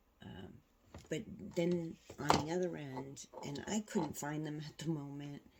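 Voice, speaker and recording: Soft-spoken, fairly slow delivery with ordinary pitch variation. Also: woman. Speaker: quilting tutorial host. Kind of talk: tutorial. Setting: home sewing room, alone.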